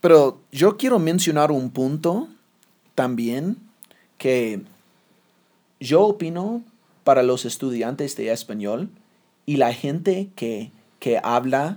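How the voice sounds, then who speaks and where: A man speaks with an English accent in a dark, mellow tone, his pitch fairly high and swinging very widely. He talks at a very slow pace over a very clean recording with a silent background. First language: English (speaking Spanish). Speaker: podcast host, Spanish learner. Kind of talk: casual chat. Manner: halting.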